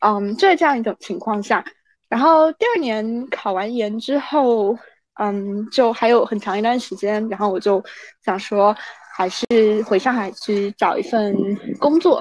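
Speaking at a fairly slow pace with long, frequent pauses, a woman uses a fairly high pitch and ordinary pitch variation. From China, Anhui. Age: 20s. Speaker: student abroad. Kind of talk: casual interview. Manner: halting, many fillers.

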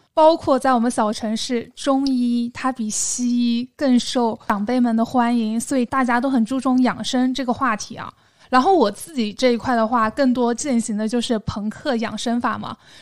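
A woman speaks in a high voice with a southern Chinese accent and fairly even intonation. She talks with hardly any pauses. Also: moderate pace. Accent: southern Chinese accent in Mandarin. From southern China, small city. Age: 30s. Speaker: podcast co-host. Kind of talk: casual chat.

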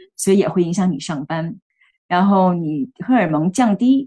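A woman with a dark, mellow tone speaks fairly slowly, her intonation lively. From Beijing, China. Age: 40s. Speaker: healthcare worker sharing menopause experience. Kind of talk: interview testimony. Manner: hesitant, many fillers.

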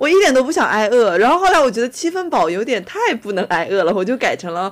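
A woman talks at a fairly quick pace. Her pitch makes very wide swings. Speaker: podcast co-host. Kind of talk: casual chat. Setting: remote recording.

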